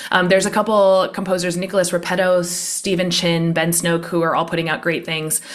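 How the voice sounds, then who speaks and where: There is noticeable background noise behind a woman with a fairly low pitch. She talks at a fairly quick pace. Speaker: high school string teacher. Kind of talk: casual interview chat. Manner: fast.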